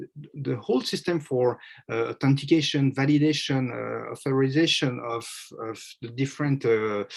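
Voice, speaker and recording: Someone speaks in a French accent at a moderate pace with ordinary pitch variation. The background is quiet. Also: man. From France. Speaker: media consultant. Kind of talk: panel presentation. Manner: halting, many fillers.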